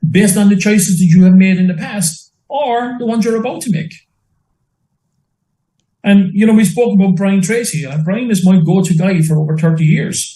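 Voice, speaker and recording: High-pitched man with a dark, mellow tone, ordinary pitch variation, and a moderate pace. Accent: Irish. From Limerick, Ireland. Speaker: entrepreneur and business mentor. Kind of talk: interview answer.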